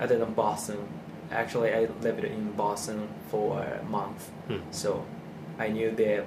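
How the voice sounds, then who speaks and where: A man's medium-pitched voice with a Japanese accent at a fairly slow pace, with audible room echo and noticeable background noise. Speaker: music producer. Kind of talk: interview. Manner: halting.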